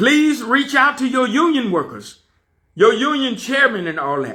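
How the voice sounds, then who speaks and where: In a raised, projected voice, a man sounds animated, with a bright, sharp tone and lively intonation. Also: very clean recording, silent background. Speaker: fired railroad conductor and channel host. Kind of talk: personal rant video. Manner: loud.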